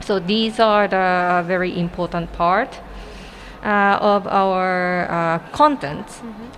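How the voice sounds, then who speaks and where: At a very slow pace, a woman with a Japanese accent talks at a medium pitch with ordinary pitch variation. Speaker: artist. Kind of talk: casual interview.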